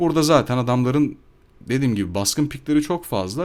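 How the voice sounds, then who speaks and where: A man speaks at a medium pitch and a fairly quick pace, his pitch swinging very widely. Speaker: gaming YouTuber. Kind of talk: gameplay commentary voiceover. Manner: casual, hesitant with fillers.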